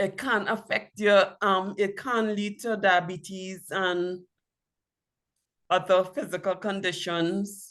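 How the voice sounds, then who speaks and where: A woman speaks at a very slow pace. Her pitch is medium, with ordinary variation. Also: quiet background. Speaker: patient sharing her health story. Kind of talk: interview testimony. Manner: slow, deliberate.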